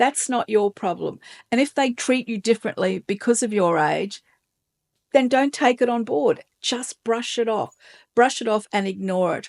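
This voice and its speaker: A woman with a plain, everyday voice talks at a moderate pace, her fairly high pitch showing ordinary variation, in a dry, close sound with no echo. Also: quiet background. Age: 60s. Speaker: lifestyle vlogger. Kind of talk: casual talk to camera.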